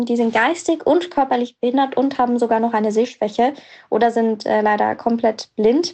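A woman's high-pitched voice comes at a moderate speed. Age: 20s. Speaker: young journalist and blogger. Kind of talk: voice messages. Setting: voice message recording.

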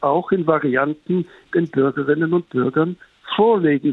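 A man speaks in a plain, everyday voice. His pitch is fairly high, and his pace is fairly slow. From Switzerland. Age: 60s. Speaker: journalist. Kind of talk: interview.

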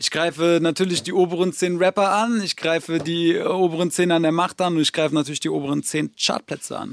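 With hardly any pauses, a man speaks in a high-pitched voice and fairly even intonation, the sound dry and close with no echo. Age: 30s. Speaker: rapper. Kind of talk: interview. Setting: studio.

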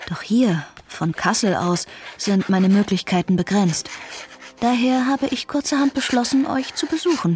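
Over noticeable background noise, a woman speaks at a moderate pace with very wide pitch swings. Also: fairly high pitch for a woman. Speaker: young amateur sleuth in audio drama. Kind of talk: scripted audio drama.

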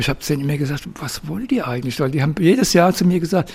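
Here a man is speaking. His pace is very fast. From southern Hesse, Darmstadt. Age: 70s. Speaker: liver transplant patient. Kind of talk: testimony.

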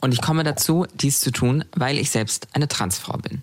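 Pitched very deep and low, a woman talks at a moderate pace with lively intonation. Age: 20s. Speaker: model and activist. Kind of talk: testimony.

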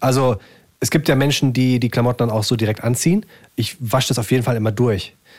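The speaker's slightly breathy voice rushes along at a very fast pace with very even loudness. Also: man, medium pitch for a man, ordinary pitch variation. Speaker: podcast host. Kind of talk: casual chat. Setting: at his parents' desk.

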